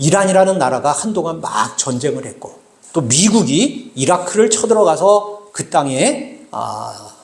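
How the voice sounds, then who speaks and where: Speaking very slowly, a man with a high pitch swings very widely up and down in pitch. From South Korea, Bucheon (Gyeonggi). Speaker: pastor. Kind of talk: sermon. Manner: halting, many filler sounds; conversational, addressing congregation.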